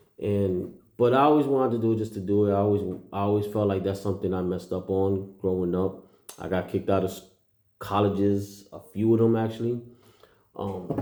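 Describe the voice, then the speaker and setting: A man speaks with a dark, mellow tone and a fairly low pitch, at a fairly quick pace. His intonation stays fairly even, and audible room echo surrounds the voice. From New York City, Puerto Rican heritage. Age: 40s. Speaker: vlogger. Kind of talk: casual monologue. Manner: hesitant, many fillers.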